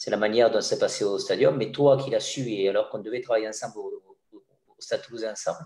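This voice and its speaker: A man rattles along at a very fast pace, his volume swinging widely. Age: 60s. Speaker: former stadium announcer. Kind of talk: interview storytelling. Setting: video call. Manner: halting with repetitions.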